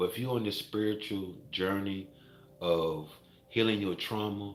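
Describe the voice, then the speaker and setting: With a fairly low pitch and ordinary pitch movement, a man talks amid audible room echo. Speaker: Reiki master and wellness vlogger. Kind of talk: motivational vlog monologue.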